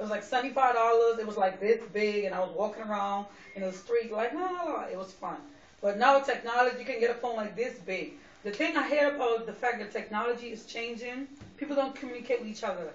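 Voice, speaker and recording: Amid noticeable background noise, a woman with a New York accent speaks very fast with fairly high pitch, ordinary pitch variation and big swings in loudness. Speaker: vlogger. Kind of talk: personal monologue vlog. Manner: loud and clear; direct, straightforward.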